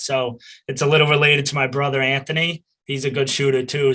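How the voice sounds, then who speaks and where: Fairly high-pitched man with a Boston accent, bright and sharp in tone, at a fairly quick pace over a very clean recording with a silent background. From Boston area, US Northeast. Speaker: college lacrosse player. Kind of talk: interview.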